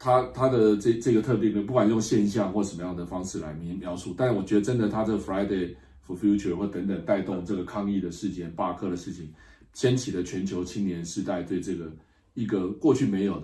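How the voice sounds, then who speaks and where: A man talks at a fairly quick pace in a somewhat breathy voice with a dark, mellow tone and fairly low pitch. His pitch varies in an ordinary way, and audible room echo surrounds him. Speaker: political science professor. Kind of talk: interview. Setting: Madrid, climate conference.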